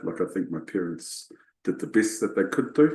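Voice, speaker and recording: A man with a New Zealand accent. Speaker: leadership coach. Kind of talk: interview. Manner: halting, many fillers and repetitions.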